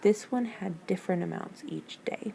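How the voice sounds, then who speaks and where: A woman speaks quietly. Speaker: teacher. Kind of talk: tutorial. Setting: district office.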